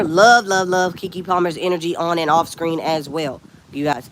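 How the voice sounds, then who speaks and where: The speaker sounds animated and moves at a fairly quick pace. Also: woman. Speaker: lifestyle vlogger. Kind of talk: casual chat.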